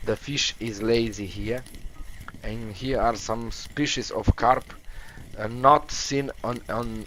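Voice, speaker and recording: Speaking at a very slow pace, a man talks with a non-native accent. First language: not English. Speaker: video game streamer. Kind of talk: live gameplay commentary. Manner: halting.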